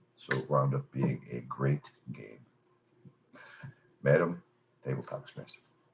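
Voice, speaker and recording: A man speaks with a very deep, low pitch, vocal fry and fairly even intonation. Long, frequent pauses break up his speech, and his loudness swings widely. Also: moderate pace. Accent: American. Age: 60s. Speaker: club member speaker. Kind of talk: impromptu speech.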